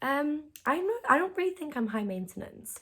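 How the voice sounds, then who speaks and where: A woman with a British accent talks at a fairly slow pace in a very clean recording with a silent background. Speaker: YouTuber. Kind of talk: reaction video, casual monologue. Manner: loud; animated.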